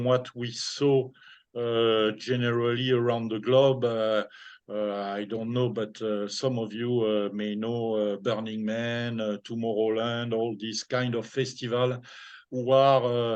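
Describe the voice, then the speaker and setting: A man with a French accent speaks at a fairly slow pace in a medium pitch, his intonation flat and monotone against a quiet background. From France. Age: 60s. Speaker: former DJ and businessman. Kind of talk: interview. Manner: halting.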